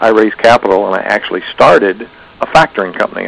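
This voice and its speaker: Over noticeable background noise, a man talks at a fairly quick pace with a fairly low pitch and fairly even intonation. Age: 60s. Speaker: factoring business owner and trainer. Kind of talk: seminar talk. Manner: conversational with fillers.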